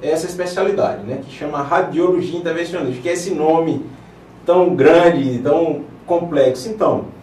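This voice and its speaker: A man's high voice moves at a moderate pace, with audible room echo and noticeable background noise around it. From Paraíba, northeastern Brazil (João Pessoa). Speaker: vascular surgeon and interventional radiologist. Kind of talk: TV interview. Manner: hesitant, with fillers and repetitions.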